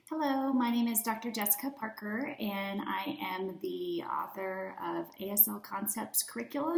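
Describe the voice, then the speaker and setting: Against noticeable background noise, a woman with an American accent talks at a moderate pace with lively intonation. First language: American Sign Language. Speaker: teacher and curriculum author. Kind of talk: product presentation. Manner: casual.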